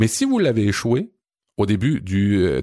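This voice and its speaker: Fairly low-pitched man with a Quebec accent and a dark, mellow tone, at a moderate pace, in a dry, close sound with no echo on a very clean recording with a silent background. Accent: Québécois French. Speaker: podcast host. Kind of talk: casual chat.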